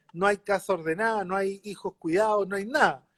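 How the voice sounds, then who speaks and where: A high-pitched man with a Chilean accent, in a dry, close sound with no echo. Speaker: mayor, politician. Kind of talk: interview.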